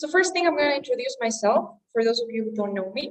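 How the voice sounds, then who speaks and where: Her pitch fairly high, a woman speaks with a Spanish accent. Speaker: English teacher. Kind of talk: online class.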